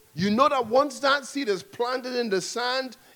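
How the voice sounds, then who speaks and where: Fairly slow, high-pitched male speech with ordinary pitch variation. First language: English (speaking French). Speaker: preacher. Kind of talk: sermon.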